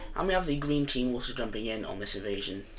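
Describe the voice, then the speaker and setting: Amid audible room echo and noticeable background noise, a man talks at a very fast pace. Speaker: gaming video narrator. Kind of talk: gameplay commentary. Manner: casual, hesitant with many fillers.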